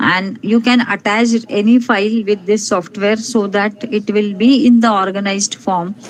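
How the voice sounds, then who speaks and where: Keeping a moderate pace, a woman talks in an unremarkable speaking voice, medium in pitch, with fairly even intonation. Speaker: resource person at academic webinar. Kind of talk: lecture-style software tutorial. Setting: online webinar.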